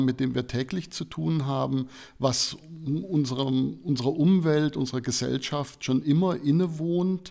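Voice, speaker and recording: In a very clean recording with a silent background, a man speaks with an ordinary speaking voice. His pitch is fairly high, his pitch variation ordinary and his pace moderate. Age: 50s. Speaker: information design professor. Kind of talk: interview.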